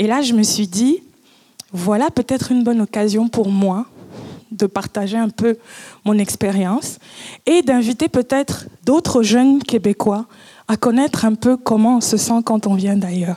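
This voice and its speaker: A woman's somewhat breathy, fairly high voice with a dark, mellow tone, fairly slow and with long, frequent pauses, ordinary pitch variation, very even loudness, and a dry, close sound with no echo. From Cameroon. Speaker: public speaker. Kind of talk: conference talk. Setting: stage with audience.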